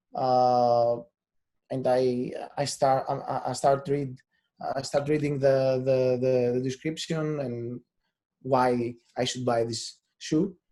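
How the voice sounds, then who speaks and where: Speaking with a Greek accent in a dark, mellow tone, a man goes at a very slow pace with flat, monotone intonation and long, frequent pauses. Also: medium pitch for a man. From Greece. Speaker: SEO specialist. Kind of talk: webinar talk. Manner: halting, many repeated words and fillers.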